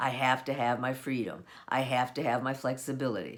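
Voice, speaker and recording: A woman talks at a moderate pace. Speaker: home-based business owner. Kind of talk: solo monologue.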